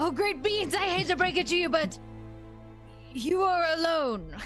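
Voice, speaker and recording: Clear music plays in the background as a put-on character voice speaks at a moderate pace in an extremely high pitch. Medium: actual play. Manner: fawning, reverent.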